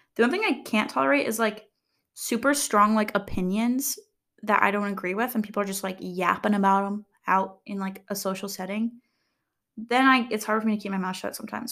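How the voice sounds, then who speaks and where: A woman speaks at medium pitch and a fairly quick pace in an animated tone with ordinary pitch variation, on a very clean recording with a silent background. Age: 20s. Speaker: content creator and podcast host. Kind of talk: casual solo monologue. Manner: rambling, filler-heavy, animated.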